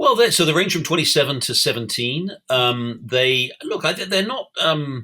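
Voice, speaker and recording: With a British accent, a man speaks in a bright, sharp tone at a fairly high pitch, a moderate pace and hardly any pauses, his pitch swinging very widely. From England. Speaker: newspaper editor and columnist. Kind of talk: interview. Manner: halting, many fillers and restarts.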